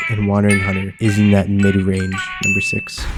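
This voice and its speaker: A man's voice sits fairly low. Background music accompanies him. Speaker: gaming youtuber. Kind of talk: scripted commentary. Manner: casual, stumbling repetitions; flat in early segments, livelier later.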